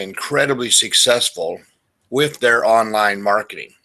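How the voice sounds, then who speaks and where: At a moderate pace, a man speaks at medium pitch with ordinary pitch variation and a bright, sharp tone. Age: 60s. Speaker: marketing webinar presenter. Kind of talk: webinar presentation. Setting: online webinar.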